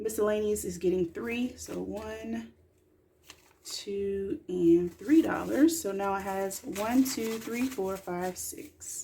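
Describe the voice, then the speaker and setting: A woman with a dark, mellow tone speaks at a very slow pace, somewhat breathy, with very wide pitch swings and big swings in loudness. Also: medium pitch for a woman. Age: 20s. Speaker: mom and budgeting vlogger. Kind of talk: casual talk to camera. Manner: chatty, relaxed.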